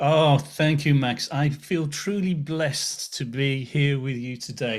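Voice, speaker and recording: A somewhat breathy voice at a fairly slow pace, on a very clean recording with a silent background. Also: man. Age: 60s. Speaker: author and business speaker. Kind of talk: interview podcast.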